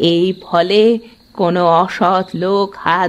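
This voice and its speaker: A cartoonish character voice, female-sounding and fairly low in pitch. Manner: blunt, knowing.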